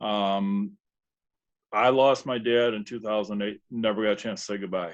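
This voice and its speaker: Speaking at a moderate pace, a man uses an unremarkable speaking voice pitched fairly low. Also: fairly even intonation. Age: 60s. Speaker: sales team member. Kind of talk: testimony.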